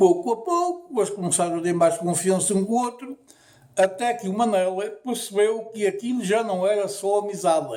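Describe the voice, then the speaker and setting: Here a man talks at a moderate pace with ordinary pitch variation. His voice is high-pitched, with a dark, mellow tone. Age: 70s. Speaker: storyteller. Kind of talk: storytelling.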